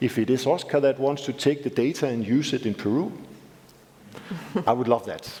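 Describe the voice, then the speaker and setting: Over noticeable background noise, a man with a Danish accent speaks at a moderate pace and medium pitch, with ordinary pitch variation. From Denmark. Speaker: civil society representative. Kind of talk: panel discussion.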